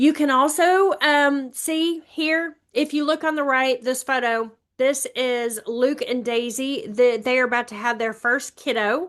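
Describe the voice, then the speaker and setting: Speaking fairly slowly with hardly any pauses, a woman with an American accent has a high pitch and ordinary pitch variation. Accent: Alabama accent with some Texas. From Alabama. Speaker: real estate agent. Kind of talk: webinar presentation.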